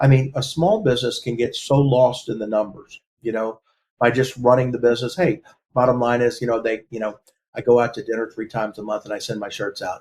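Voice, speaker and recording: Talking very fast, a man sounds somewhat breathy, his pitch varying in an ordinary way. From Texas, Galveston. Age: 60s. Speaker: lawyer. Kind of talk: interview. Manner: halting.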